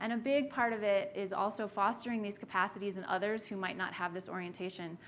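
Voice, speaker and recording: Talking at a very fast pace, a woman with a medium-pitched voice keeps her intonation fairly even amid audible room echo. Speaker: workshop facilitator. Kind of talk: lecture. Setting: meeting room with audience.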